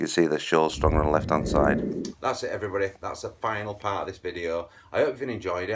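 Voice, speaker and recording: A man with a Yorkshire accent at a very fast pace, ordinary pitch variation, and noticeable background noise. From Yorkshire, northern England. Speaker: angling video host. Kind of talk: tutorial. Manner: animated.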